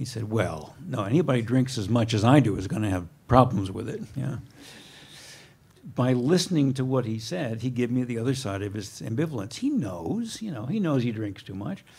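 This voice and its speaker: A man speaks at a medium pitch and a moderate pace. His voice is somewhat breathy, with lively intonation. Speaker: professor, guest lecturer. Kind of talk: lecture. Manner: soft-spoken.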